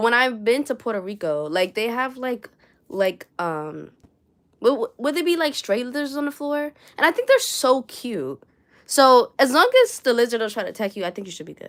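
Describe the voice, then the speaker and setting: A woman's high voice in a New York accent, animated in tone, with very wide pitch swings and big swings in loudness, on a very clean recording with a silent background. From New York City (Bronx). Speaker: crochet artist and streamer. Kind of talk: casual livestream chat. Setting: livestream at home. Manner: animated, talks with hands; chatty, fast-talking.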